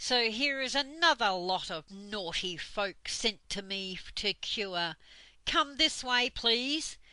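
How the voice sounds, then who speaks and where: In a put-on character voice, a woman speaks at a fairly slow pace with a fairly high pitch and lively intonation. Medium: read story. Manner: stern, bossy.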